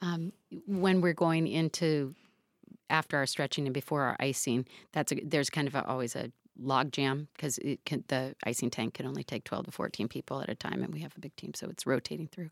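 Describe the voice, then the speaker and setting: In a very clean recording with a silent background and a dry, close sound with no echo, a woman with an American accent speaks at a fairly quick pace with a very deep, low pitch, ordinary pitch variation and vocal fry. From Seattle, US Pacific Northwest. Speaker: high school running coach. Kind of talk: interview conversation. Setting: studio.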